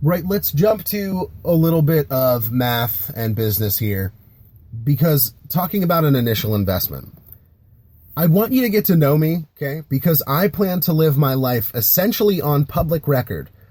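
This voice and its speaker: A man with a somewhat breathy, dark, mellow tone and a fairly high pitch speaks at a moderate pace with very wide pitch swings. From US, Philadelphia area, Pennsylvania. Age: 20s. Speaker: Navy veteran and startup founder. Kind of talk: podcast monologue. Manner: casual, with fillers and restarts.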